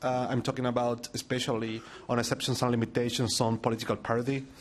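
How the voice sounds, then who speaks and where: A man talks with a Chilean accent. His pace is fairly quick. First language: Spanish. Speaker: digital rights NGO director. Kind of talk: conference presentation. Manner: halting, many fillers.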